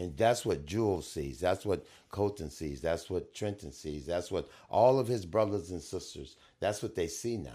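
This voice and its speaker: A man with a very deep, low pitch, a dark, mellow tone and vocal fry, lively intonation at a moderate pace, in a very clean recording with a silent background. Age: 70s. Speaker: guest. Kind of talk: casual chat.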